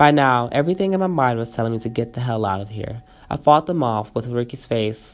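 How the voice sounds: The reading voice sounds natural, and its intonation is lively.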